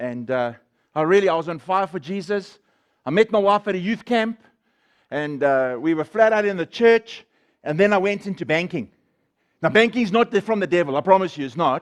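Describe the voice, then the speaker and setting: A loud man's voice, high-pitched, animated and fairly quick, with lively intonation, long, frequent pauses, a quiet background and a dry, close sound with no echo. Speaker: guest speaker sharing testimony. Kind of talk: testimony.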